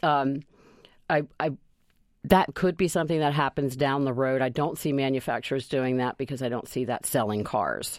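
The pace is moderate. Pitch variation is ordinary. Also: woman, very deep, low pitch for a woman. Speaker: traffic safety official. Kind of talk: radio interview.

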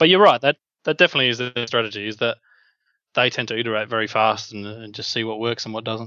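A man speaks at a very fast pace with an Australian accent. His loudness swings widely. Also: medium pitch for a man, ordinary pitch variation. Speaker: app developer. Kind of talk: interview.

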